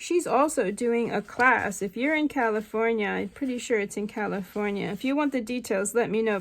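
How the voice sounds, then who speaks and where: A woman speaks at a fairly high pitch with ordinary pitch variation. The recording is very clean, with a silent background. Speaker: craft artist selling handmade journals. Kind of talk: product flip-through tutorial. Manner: hesitant, many fillers.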